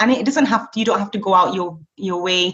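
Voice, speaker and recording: A woman with a Lancashire accent, medium in pitch and somewhat breathy, at a very fast pace. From northern England, Blackburn. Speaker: teacher and street cat rescuer. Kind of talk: casual interview.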